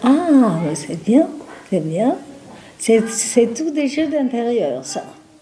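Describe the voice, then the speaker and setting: A woman with fairly high pitch speaks at a very slow pace with very wide pitch swings over noticeable background noise. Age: 80s+. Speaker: nursing home resident. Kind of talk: casual chat. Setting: nursing home. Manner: talkative; halting.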